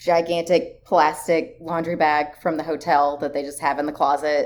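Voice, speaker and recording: A woman's very deep, low voice with a Tennessee accent, at a moderate pace. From rural Tennessee. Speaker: travel writer. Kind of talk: casual interview chat.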